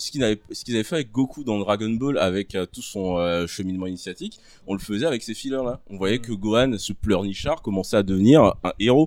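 A man with a normal speaking voice talks at a moderate pace, fairly low in pitch, with ordinary pitch variation. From Ivory Coast. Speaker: podcast guest. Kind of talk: casual chat. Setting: live recording with audience.

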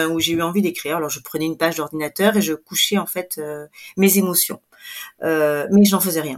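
Her voice sits at a medium pitch and varies in an ordinary way. This woman talks at a moderate speed. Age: 40s. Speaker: photographer and author. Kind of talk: interview testimony. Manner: hesitant, many fillers.

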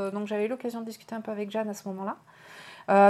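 This woman has a fairly high pitch. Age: 40s. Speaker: novelist. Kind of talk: casual interview. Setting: live online stream.

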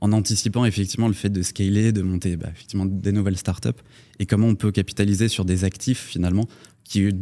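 A man talks at a fairly quick pace in a dark, mellow tone. His pitch is fairly low and his intonation monotone and flat. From Paris, France. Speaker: tech startup CTO. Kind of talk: panel discussion. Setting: studio.

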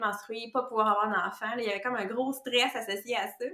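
Over noticeable background noise, a woman with a fairly high pitch speaks at a fairly quick pace in a flat monotone. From Quebec. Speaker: nutritionist. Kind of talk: casual interview chat.

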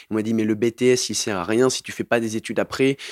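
The very clean, dry, close recording with no echo and a silent background carries a man's fairly low voice at a fairly quick pace. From southern France, Montpellier. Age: 20s. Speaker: farm educator and youth activity leader. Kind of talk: interview testimony. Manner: halting.

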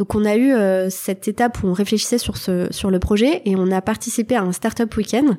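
A woman speaks with a dark, mellow tone and ordinary pitch variation. Her loudness stays very even, and she hardly pauses at all. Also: medium pitch for a woman, fairly quick pace. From Lorraine, France. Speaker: social entrepreneur. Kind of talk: interview. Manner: hesitant, many fillers.

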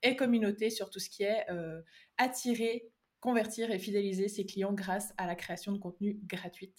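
A woman speaks with a slight Swiss French accent at a moderate pace. Her pitch is medium and her intonation fairly even. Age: 20s. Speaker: online course creator. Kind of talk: interview.

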